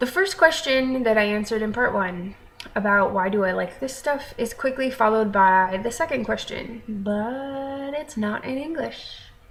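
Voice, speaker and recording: In a room with audible echo and noticeable background noise, a woman with an American accent talks at a moderate pace with hardly any pauses, her high voice showing lively intonation. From American, raised abroad (third culture kid). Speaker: vlogger. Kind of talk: casual vlog talk. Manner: conversational with filler ums.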